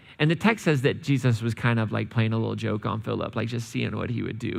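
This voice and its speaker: A man talks at a very fast pace with ordinary pitch variation. His voice has vocal fry. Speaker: church preacher. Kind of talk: sermon, casual and conversational. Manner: relaxed, humorous.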